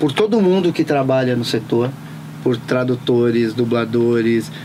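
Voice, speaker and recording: There is noticeable background noise as a man talks at a medium pitch. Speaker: voice actor and dubbing studio owner. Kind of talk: interview answer.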